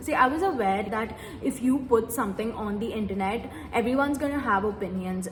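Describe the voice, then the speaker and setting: A woman with a Tamil accent speaks at a fairly quick pace and fairly high pitch with lively intonation. Noticeable background noise and audible room echo fill the recording. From India, Mumbai. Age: 20s. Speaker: medical graduate and YouTuber. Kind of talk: Q&A vlog, casual talk.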